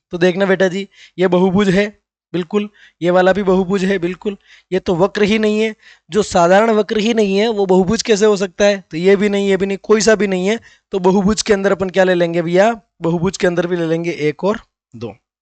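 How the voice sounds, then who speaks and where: The dry, close sound with no echo captures a high-pitched man speaking at a fairly quick pace. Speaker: math teacher. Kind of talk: tutorial. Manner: repetitive, explanatory.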